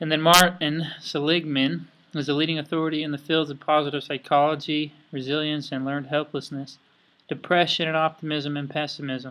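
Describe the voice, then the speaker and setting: An American man speaks in a fairly high, bright, sharp voice at a fairly quick pace. His intonation is monotone and flat, and the recording is very clean with a silent background. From Idaho. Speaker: student. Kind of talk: class presentation.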